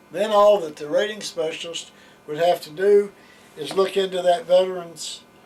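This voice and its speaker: A man with an American accent and a high pitch speaks at a moderate pace with fairly even intonation. Noticeable background noise sits behind him. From West Virginia. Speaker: veterans claims officer; Navy veteran. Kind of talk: interview answer.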